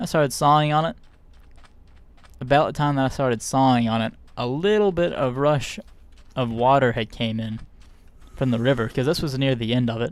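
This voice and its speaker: A man at medium pitch, fairly quick, with ordinary pitch variation and long, frequent pauses. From US South. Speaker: streamer. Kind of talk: casual chat. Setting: live stream.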